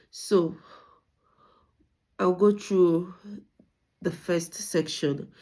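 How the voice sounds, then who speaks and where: Very slowly and with fairly even intonation, a woman speaks in a dark, mellow tone in a very clean recording with a silent background. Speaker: student. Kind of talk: recorded presentation. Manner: halting.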